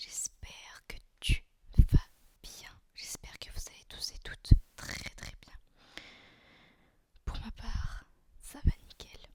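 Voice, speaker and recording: A man whispering in a relaxed tone, very slow with long, frequent pauses and big swings in loudness. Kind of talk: casual talk to camera. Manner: soft-spoken, relaxed, chatty.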